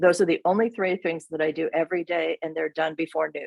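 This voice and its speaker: With ordinary pitch variation and a fairly low pitch, a woman talks in an unremarkable speaking voice. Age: 50s. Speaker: real estate agent. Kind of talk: business talk to a group.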